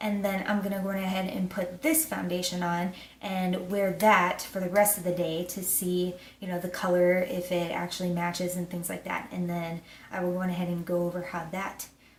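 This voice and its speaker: A woman talks at a moderate pace and medium pitch with fairly even intonation. Audible room echo and noticeable background noise surround her voice. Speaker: beauty vlogger. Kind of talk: casual product review. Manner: filler-heavy, casual.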